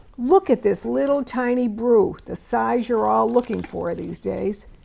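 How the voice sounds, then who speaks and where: In an enthusiastic tone, a woman speaks at a moderate pace. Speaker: antique doll auctioneer. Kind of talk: narrated auction preview walkthrough.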